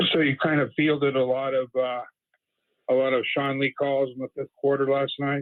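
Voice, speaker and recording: Monotone, flat intonation marks this man's fairly high voice. He speaks at a moderate pace with an American accent. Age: 60s. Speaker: caller. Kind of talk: casual call-in chat. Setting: phone call. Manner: halting, repetitive.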